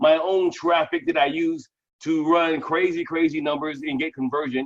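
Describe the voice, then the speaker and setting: Loud and fairly high-pitched, a man talks with ordinary pitch variation. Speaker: network marketing team leader. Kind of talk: Q and A on a live video call. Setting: video call. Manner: fast.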